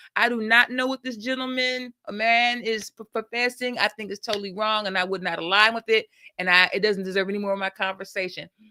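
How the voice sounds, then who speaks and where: This woman's voice has a bright, sharp tone and a fairly high pitch, with fairly even intonation and hardly any pauses. The sound is dry and close, with no echo. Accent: American. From US Midwest, Milwaukee. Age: 60s. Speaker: educator. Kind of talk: interview. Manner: halting.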